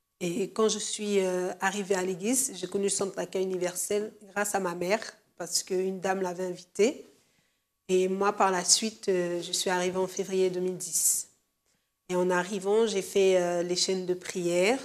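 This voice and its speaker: A woman talks at a moderate pace in a medium pitch. Her intonation stays monotone and flat. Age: 20s. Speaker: church member giving testimony. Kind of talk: testimony. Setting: studio. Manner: hesitant, many fillers.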